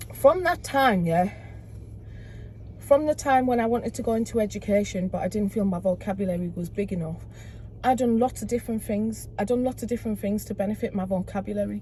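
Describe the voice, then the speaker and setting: Here a woman talks at a fairly quick pace. Her accent is Teesside. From northern England, Middlesbrough. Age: 30s. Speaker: community activist. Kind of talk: casual chat.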